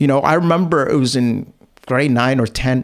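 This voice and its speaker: This man speaks at a fairly slow pace. His voice sits at a medium pitch. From Canada. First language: not English. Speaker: podcast host. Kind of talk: casual chat. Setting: livestream.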